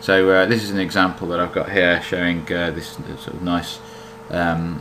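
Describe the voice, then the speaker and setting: Amid noticeable background noise and audible room echo, a man with a British accent speaks at a moderate pace in a very deep, low pitch with ordinary pitch variation. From Britain. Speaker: software developer demoing own plugin. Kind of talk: tutorial. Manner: hesitant, many fillers.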